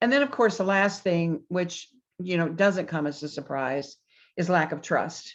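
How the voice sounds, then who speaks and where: Against a quiet background, a woman with an unremarkable speaking voice talks at a fairly low pitch and a fairly slow pace with lively intonation. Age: 60s. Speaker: business consultant. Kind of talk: interview.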